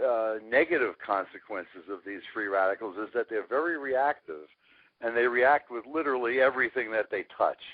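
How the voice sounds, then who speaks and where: A man with an unremarkable speaking voice talks at a moderate pace, with lively intonation. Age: 60s. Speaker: scientist and company CEO. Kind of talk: interview.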